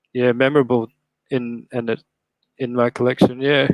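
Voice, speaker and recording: Here a man speaks with an Australian accent at medium pitch, his intonation monotone and flat. The sound is dry and close, with no echo. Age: 30s. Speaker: live stream host, toy collector. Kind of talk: casual chat. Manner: halting, many fillers.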